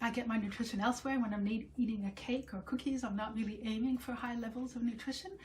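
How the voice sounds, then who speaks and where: In a French accent, a woman speaks. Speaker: home cooking video host. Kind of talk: casual talk to camera. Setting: home kitchen. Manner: casual, with many fillers and self-corrections.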